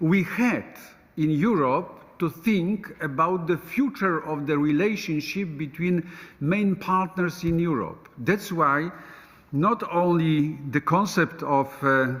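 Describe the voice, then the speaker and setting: A man's high-pitched voice at a very slow pace, with very even loudness throughout. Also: ordinary pitch variation. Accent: Polish. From Poland. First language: Polish. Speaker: politician. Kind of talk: panel discussion. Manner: halting, many hesitations.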